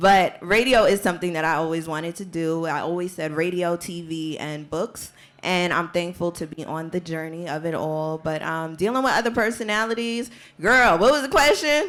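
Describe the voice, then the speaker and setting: A woman with a fairly low pitch speaks with lively intonation at a moderate pace. Hers is an unremarkable speaking voice. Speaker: radio personality. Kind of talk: panel discussion.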